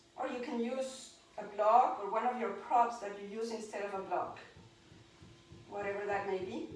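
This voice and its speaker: Over noticeable background noise and audible room echo, a woman with a fairly high pitch talks at a moderate pace with ordinary pitch variation and long, frequent pauses. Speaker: yoga teacher. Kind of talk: guided yoga class. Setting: home, online class.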